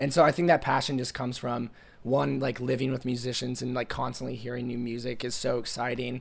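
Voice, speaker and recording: A man talks at a fairly quick pace in a medium pitch. His delivery is monotone and flat, with vocal fry. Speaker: college student, music manager. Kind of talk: interview. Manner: casual, many fillers.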